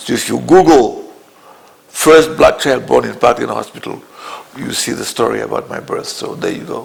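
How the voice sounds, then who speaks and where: Here a man talks at a moderate pace. Noticeable background noise runs throughout. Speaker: interviewee on political history. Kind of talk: interview testimony.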